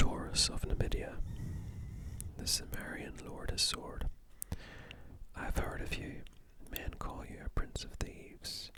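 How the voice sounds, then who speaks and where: Someone whispers at a fairly slow pace with long, frequent pauses. Noticeable background noise sits behind the voice. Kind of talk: ASMR story reading. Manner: whispered.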